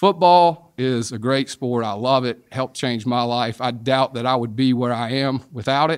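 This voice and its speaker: A man with a Southern US accent, medium pitch and ordinary pitch variation, at a moderate pace with hardly any pauses. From South Carolina. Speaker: sports and entertainment lawyer. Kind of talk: interview.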